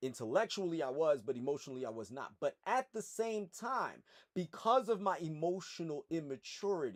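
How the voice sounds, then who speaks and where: A man's high-pitched voice with an American accent and very wide pitch swings, at a moderate pace with hardly any pauses, in a very clean, dry, close recording with no echo and a silent background. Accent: slight accent, educated tone in this setting. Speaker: personal trainer and PE teacher. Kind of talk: educational commentary vlog. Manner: articulate, formal.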